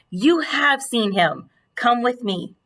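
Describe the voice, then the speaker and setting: A female-sounding put-on character voice is pitched high. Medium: read story. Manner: gentle.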